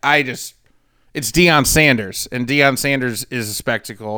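Medium-pitched male voice, bright and sharp in tone with ordinary pitch variation, on a very clean recording with a silent background. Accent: US Midwestern. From St. Louis, Missouri. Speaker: sports betting podcast co-host. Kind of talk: casual chat.

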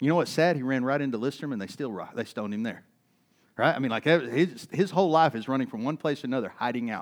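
Very fast speech in an East Texas accent, full of very wide pitch swings, over a quiet background. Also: man. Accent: East Texas Southern American. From US South, East Texas. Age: 40s. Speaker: pastor. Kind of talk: sermon.

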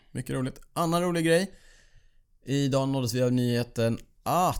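A man speaks at a medium pitch with ordinary pitch variation in an ordinary speaking voice. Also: very clean recording, silent background. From Sweden, Borås. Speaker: podcast host, amateur cyclist. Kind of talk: casual chat. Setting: studio.

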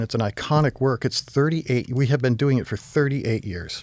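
A man with a normal speaking voice talks in a medium pitch with an American accent. His intonation is lively. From Vermont, US. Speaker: ballet company artistic director. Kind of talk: interview.

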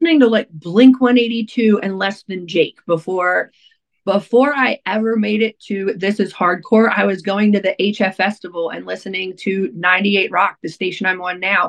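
A woman with an American accent and an ordinary speaking voice, with ordinary pitch variation at a moderate pace. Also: medium pitch for a woman. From Baltimore area, Maryland (Essex). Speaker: radio DJ and nonprofit founder. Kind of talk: casual interview chat.

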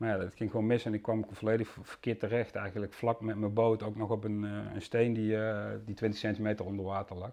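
A man with a fairly low pitch talks at a fairly quick pace in a dark, mellow tone, flat and monotone, with hardly any pauses. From Limburg, Netherlands. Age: 40s. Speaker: carp angler and media manager. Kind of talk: interview.

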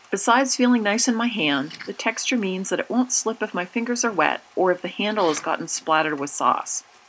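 The speaker moves at a fairly quick pace with lively intonation. Noticeable background noise can be heard throughout. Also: woman. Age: 40s. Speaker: communication studies professor. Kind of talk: scripted narration. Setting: in her kitchen.

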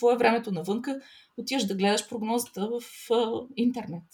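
A woman talks at a fairly quick pace and fairly high pitch. She has an ordinary speaking voice. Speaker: educator. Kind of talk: interview.

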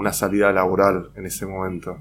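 In a Rioplatense accent, a man speaks at a moderate pace. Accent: Argentine Spanish (rioplatense). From Argentina, Rosario. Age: 40s. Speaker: paper artist and graphic designer. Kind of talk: interview. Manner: hesitant, many fillers.

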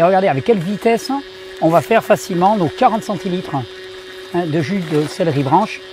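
A man with a high voice and ordinary pitch variation speaks over noticeable background noise. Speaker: naturopath / health video creator. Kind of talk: video tutorial. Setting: outdoors.

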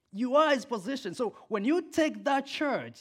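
A man speaks with an African accent at a moderate pace. The recording is very clean, with a silent background. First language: Swahili. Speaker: preacher. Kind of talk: sermon. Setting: church. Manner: animated, passionate.

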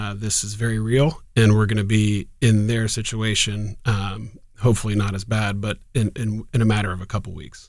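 A man at a moderate pace with hardly any pauses, fairly low in pitch, with fairly even intonation. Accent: Midwestern American. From Columbus, Ohio. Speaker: ophthalmologist. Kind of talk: casual interview.

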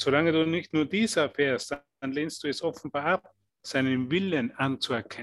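The man speaks at a fairly high pitch and a moderate pace. His pitch varies in an ordinary way, and the sound is dry and close with no echo. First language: German. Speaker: interpreter. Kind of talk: live consecutive interpretation.

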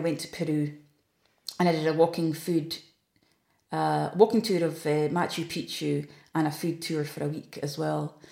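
In a northeast Scottish accent, a woman speaks at a moderate pace with a fairly low pitch and a dark, mellow tone. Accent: Scottish (north-east). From Scotland, Aberdeenshire. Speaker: food tour company owner. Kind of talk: interview. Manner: hesitant with fillers.

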